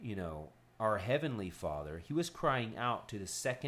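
This is an unforced reading voice. It is the only trait given.

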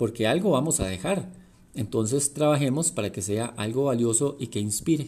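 A somewhat breathy man at a medium pitch, dark and mellow in tone, with lively intonation and a moderate pace. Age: 40s. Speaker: leadership coach and podcaster. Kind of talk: reflective monologue.

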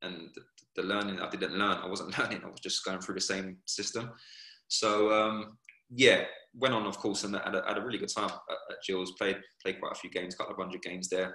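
Speaking at a fairly quick pace, a man talks in an English accent. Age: 30s. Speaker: professional footballer. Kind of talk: casual interview.

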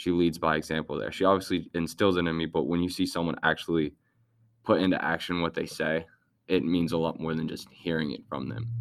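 Using vocal fry and a very deep, low pitch, a man talks at a fairly quick pace with ordinary pitch variation. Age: 18. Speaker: student athlete, Paralympic sprinter. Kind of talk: casual interview.

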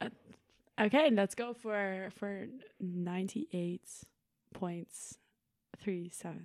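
A woman speaks at a very slow pace with a medium pitch, leaving long, frequent pauses. The sound is dry and close with no echo, and her pitch varies in an ordinary way. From Netherlands, Haarlem. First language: Dutch. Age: 20s. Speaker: university student, sustainability officer. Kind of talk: casual chat.

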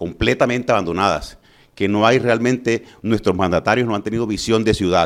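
Moderate in pace, this man uses ordinary pitch variation at a fairly low pitch. He has an ordinary speaking voice. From Colombia, Valledupar (Cesar). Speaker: physician and mayoral candidate. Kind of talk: political interview.

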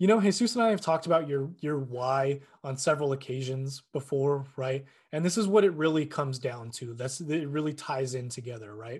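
A man talks at a fairly quick pace with a fairly high pitch. His voice is somewhat breathy. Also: ordinary pitch variation. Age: 20s. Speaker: fitness podcaster. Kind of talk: solo monologue. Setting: at a desk. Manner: casual, with many fillers.

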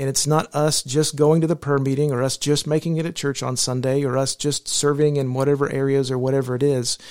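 Fairly quick, monotone, flat speech from a man with a fairly high pitch and an American accent. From New Mexico, US. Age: 40s. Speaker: pastor. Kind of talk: casual chat. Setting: studio.

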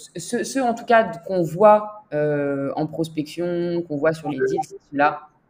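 Her pitch is very deep and low for a woman, with ordinary pitch variation. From southern France, Toulon. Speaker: finance executive. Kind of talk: interview.

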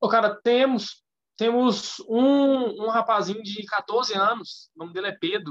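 Delivered at a fairly slow pace, the speech has big swings in loudness and ordinary pitch variation. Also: man, high pitch for a man. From Minas Gerais, Brazil (Curvelo). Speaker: physical education teacher. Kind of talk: casual interview.

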